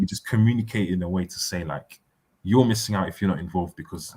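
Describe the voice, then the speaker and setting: Very fast, somewhat breathy speech from a man, fairly low in pitch, dark and mellow in tone, with ordinary pitch variation. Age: 20s. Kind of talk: casual chat.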